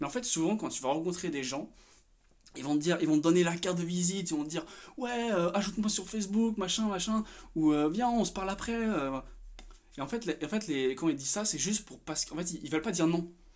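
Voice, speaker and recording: A man talks at a fairly quick pace in a high pitch. His tone is animated. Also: ordinary pitch variation. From France, Paris. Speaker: vlogger. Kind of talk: casual rant vlog. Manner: halting, many fillers.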